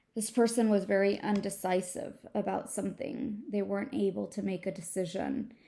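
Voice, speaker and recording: Using vocal fry, a woman with a medium pitch and a dark, mellow tone speaks at a moderate pace with hardly any pauses and ordinary pitch variation. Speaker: tarot reader. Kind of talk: tarot reading. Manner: halting.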